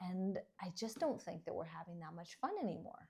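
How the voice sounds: A woman's fairly low, dark and mellow voice at a fairly quick pace, with lively intonation and vocal fry, in a very clean recording with a silent background.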